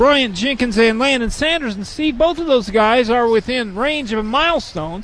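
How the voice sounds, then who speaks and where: Over noticeable background noise, a man with an extremely high pitch talks at a moderate pace with lively intonation and hardly any pauses. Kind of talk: sports commentary, analysis between plays. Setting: courtside in a high school gym. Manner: conversational, measured, stat-filled.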